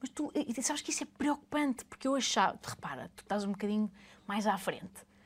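Delivered at a fairly quick pace with lively intonation, this is a plain, everyday voice. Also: woman, fairly high pitch for a woman. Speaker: podcast host. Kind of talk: casual interview.

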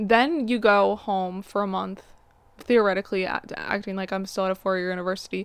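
A woman with a medium-pitched voice talks fairly quickly. Her intonation stays fairly even. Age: 20s. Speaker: podcast host. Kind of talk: casual monologue. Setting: home, in bed. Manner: fast.

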